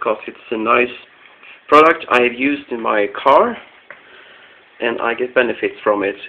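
A man talks at a moderate pace. He takes long, frequent pauses. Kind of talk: tutorial. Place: home room. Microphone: phone near.

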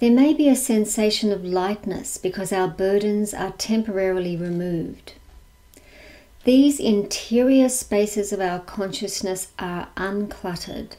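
In an Australian accent, a woman talks at a fairly slow pace with a dark, mellow tone and ordinary pitch variation. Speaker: lecturer, society president; lecturer. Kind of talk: lecture; Q&A answers. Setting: video call. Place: home room. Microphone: webcam.

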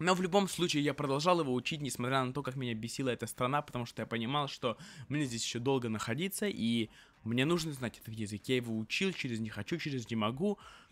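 The speech is very fast, with lively intonation. The sound is dry, with no echo. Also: man, medium pitch for a man. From Russia. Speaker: vlogger. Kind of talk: casual monologue. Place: home room. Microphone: studio mic.

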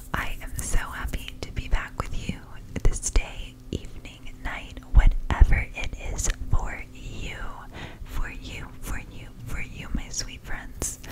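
Whispering at a very slow pace, a woman lets her loudness swing widely. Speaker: ASMR creator. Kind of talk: ASMR whisper to camera. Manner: whispered, soft-spoken. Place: home room. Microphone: studio mic.

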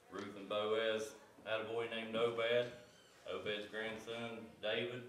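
A man is speaking with audible room echo. Light background noise can be heard. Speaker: Sunday school teacher. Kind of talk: sermon. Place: church.

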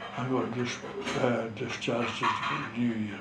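Monotone, flat delivery from a man with a North East Scottish accent at a very slow pace, over noticeable background noise. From North East Scotland. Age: 80s+. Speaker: war veteran, fishing skipper. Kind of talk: interview answer. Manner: slow, hesitant. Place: home room. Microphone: camera far.

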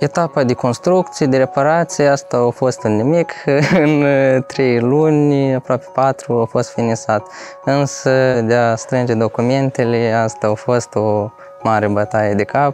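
Faint music plays in the background as a man talks at a fairly slow pace with ordinary pitch variation, the sound dry with no echo. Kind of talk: interview answer. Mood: relaxed, slightly amused. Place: street. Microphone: lapel.

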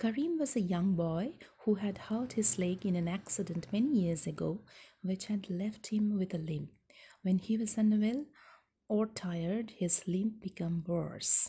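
Soft-spoken and somewhat breathy, a woman talks at a fairly slow pace with ordinary pitch variation. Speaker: storyteller. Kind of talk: story read-aloud. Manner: soft, hushed bedtime reading voice. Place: home room. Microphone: phone near.

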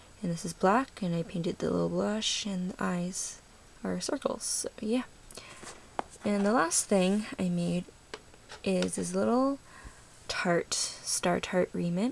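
Quiet speech moves at a fairly slow pace, broken by long, frequent pauses. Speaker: polymer clay charm maker. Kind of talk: casual craft show-and-tell to camera.

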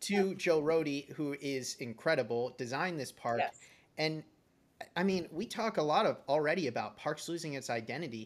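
A man with an American accent speaks at a moderate pace. His intonation is lively. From Massachusetts, Boston area. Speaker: podcast host. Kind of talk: casual chat. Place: home room. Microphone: video call.

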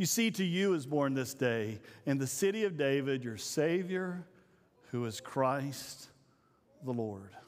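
A man talks at a fairly slow pace with lively intonation. His pitch is medium.

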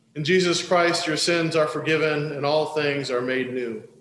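Over light background noise and audible room echo, a man speaks at a fairly slow pace with ordinary pitch variation. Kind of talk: liturgical prayer reading. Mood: solemn, calm. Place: church.

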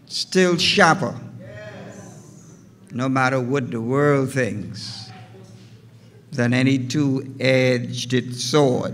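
The voice moves at a very slow pace with ordinary pitch variation and big swings in loudness. Light background noise can be heard. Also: man. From Bahamas. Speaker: pastor. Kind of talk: formal greeting remarks; address to the congregation. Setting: church. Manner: formal, ornate. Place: church. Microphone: podium.

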